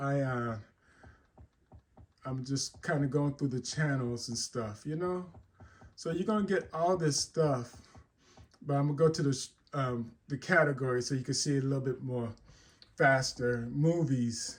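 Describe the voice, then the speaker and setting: The speaker talks at a moderate pace with ordinary pitch variation, a somewhat breathy sound, and long, frequent pauses. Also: man, fairly high pitch for a man. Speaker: tech tutorial YouTuber. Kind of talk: tutorial. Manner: casual, with fillers and repetitions.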